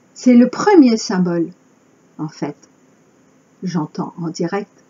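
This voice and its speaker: A somewhat breathy woman's voice with lively intonation, at a very slow pace. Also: long, frequent pauses, big swings in loudness. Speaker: spiritual channeler. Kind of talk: spiritual monologue.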